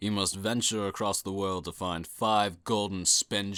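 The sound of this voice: Someone reads in an unforced reading voice.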